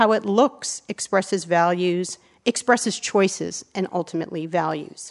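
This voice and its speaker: A plain, everyday voice from a woman with an American accent, medium in pitch, at a moderate pace with ordinary pitch variation. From US. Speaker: architecture writer and advisor. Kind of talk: lecture. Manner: formal.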